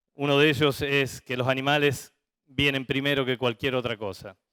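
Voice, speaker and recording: The man's pitch sits in the medium range. His delivery is flat and monotone. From Argentina, Santa Fe (litoral). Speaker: veterinarian, livestock industry manager. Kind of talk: conference talk.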